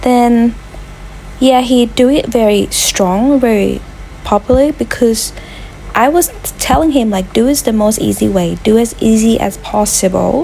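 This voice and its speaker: A woman speaks at a fairly slow pace and very even loudness against noticeable background noise. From Thailand. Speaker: vlogger. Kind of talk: casual vlog narration.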